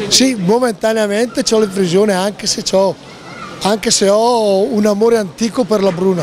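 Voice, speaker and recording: A man's high-pitched voice at a fairly slow pace, with ordinary pitch variation and crowd noise in the background. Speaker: dairy cattle breeder. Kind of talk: interview answer.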